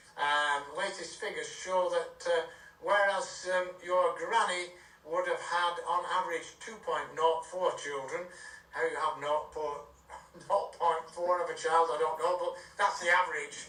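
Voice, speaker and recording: Fairly slow speech with fairly even intonation, amid audible room echo and noticeable background noise. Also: man, high pitch for a man. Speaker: radio news presenter. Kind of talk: news reading. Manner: hesitant with many fillers.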